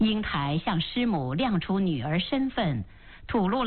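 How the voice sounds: Here a text is delivered in a natural reading voice.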